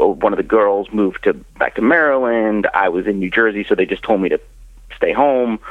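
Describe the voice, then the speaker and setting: This man has an ordinary speaking voice, with medium pitch, ordinary pitch variation and a moderate pace. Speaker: comedian and author. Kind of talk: casual interview chat. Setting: phone or video call.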